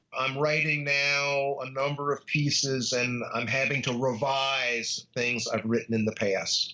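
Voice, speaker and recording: The man has a plain, everyday voice with a fairly high pitch and speaks at a fairly slow pace. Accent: American. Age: 60s. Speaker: law professor. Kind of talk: interview.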